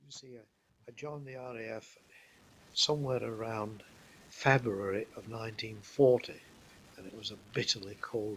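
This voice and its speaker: The speaker has a Yorkshire accent and leaves long, frequent pauses. Loudness swings widely. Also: man, medium pitch for a man, fairly even intonation, moderate pace. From northern England, Leeds. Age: 80s+. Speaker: war veteran. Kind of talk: life story interview. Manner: halting.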